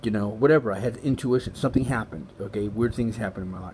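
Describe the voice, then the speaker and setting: Very fast and somewhat breathy speech with an American accent. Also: man. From Los Angeles, US. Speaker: vlogger sharing spiritual experiences. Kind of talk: personal testimony monologue. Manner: halting, many fillers.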